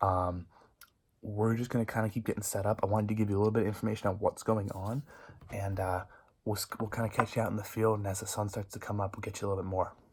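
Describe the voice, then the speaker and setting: A quiet man's voice, fairly low-pitched and somewhat breathy, flat and monotone at a very fast pace. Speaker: hunting vlogger. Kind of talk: vlog to camera. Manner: quiet, hushed.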